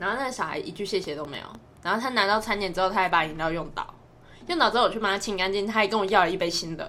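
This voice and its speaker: At a very fast pace, a woman speaks in a bright, sharp, animated tone at medium pitch with ordinary pitch variation. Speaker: podcast co-host, part-time fast food worker and tutor. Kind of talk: casual chat. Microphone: no microphone bought.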